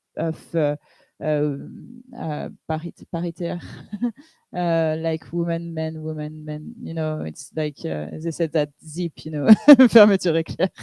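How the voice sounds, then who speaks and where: Very slow speech with a French accent, a dark, mellow tone and fairly even intonation, dry and close with no echo. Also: woman, very deep, low pitch for a woman. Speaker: pirate party politician. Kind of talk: panel discussion. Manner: halting.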